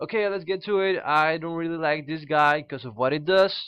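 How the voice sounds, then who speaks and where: The man talks at a moderate pace. He speaks with a Spanish accent. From Peru. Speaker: card game YouTuber. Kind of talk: casual card review. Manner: halting, many fillers.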